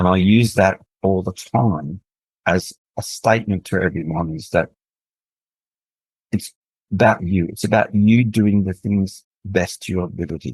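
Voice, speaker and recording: A man with a very deep, low pitch talks at a moderate pace in an Australian accent, using ordinary pitch variation. His long, frequent pauses sit in a dry, close sound with no echo. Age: 60s. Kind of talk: interview testimony.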